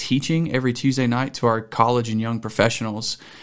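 Recorded very cleanly against a silent background, this speaker has a Southern US accent and fairly even intonation. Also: man. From Mississippi. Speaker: pastor. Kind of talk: casual chat. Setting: studio.

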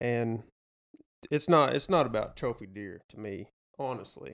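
A man is talking. His accent is Southern US. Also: very clean recording, silent background. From Arkansas. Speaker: hunter and outdoorsman. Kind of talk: casual chat.

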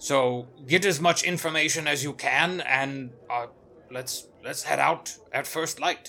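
A man puts on a character voice at a fairly high pitch. He talks at a fairly slow pace. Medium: actual play. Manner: formal, polite.

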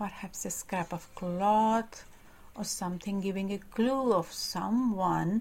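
Reading aloud in an unforced reading voice

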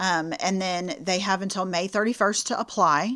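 In a very clean recording with a silent background, a woman with a Texan accent speaks at medium pitch and a moderate pace, with ordinary pitch variation. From Clear Lake area south of Houston, Texas. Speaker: substance abuse prevention worker. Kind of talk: interview.

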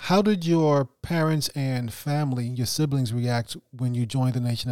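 In a very clean recording with a silent background, a man with an American accent speaks in a normal speaking voice at medium pitch with ordinary pitch variation. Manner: polite, formal.

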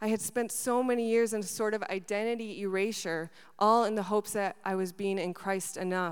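Talking fairly quickly with an Upper Midwest accent, a woman at a medium pitch keeps a fairly even intonation in a very clean recording with a silent background. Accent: Upper Midwest American. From Wisconsin, moved from Argentina at seven. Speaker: university student care manager. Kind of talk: spoken word testimony. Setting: stage with audience.

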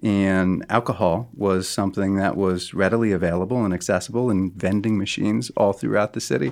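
An ordinary speaking voice from a man with an American accent, fairly low in pitch, with ordinary pitch variation, a fairly quick pace and hardly any pauses, on a very clean recording with a silent background. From US Northeast (Connecticut). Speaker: addiction treatment program founder, therapist. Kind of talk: interview. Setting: studio.

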